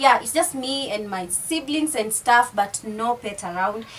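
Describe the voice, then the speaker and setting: A woman with an East African accent speaks at a fairly high pitch. Her pace is fairly slow and her intonation lively. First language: Swahili. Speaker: YouTuber. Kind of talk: casual vlog chat.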